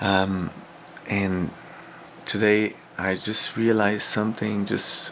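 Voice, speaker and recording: Speaking very slowly with a French accent, a man uses a fairly low pitch, flat monotone intonation, and long, frequent pauses. Background noise is noticeable. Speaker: former English teacher in Korea. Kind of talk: video diary talk to camera. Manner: casual.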